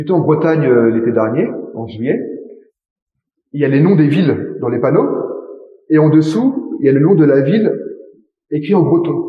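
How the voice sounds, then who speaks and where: A man with a Parisian accent speaks at a fairly high pitch with lively intonation and long, frequent pauses. There is audible room echo. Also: moderate pace. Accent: own idiosyncratic Parisian articulation. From France, Paris. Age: young. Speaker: interviewee, native French speaker. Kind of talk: interview.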